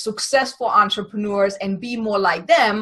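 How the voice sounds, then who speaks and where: A woman with a German accent speaks at a fairly high pitch and a moderate pace. Her tone is bright and sharp, her intonation fairly even. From Germany. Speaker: podcast host and business coach. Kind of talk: interview. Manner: stumbles over words.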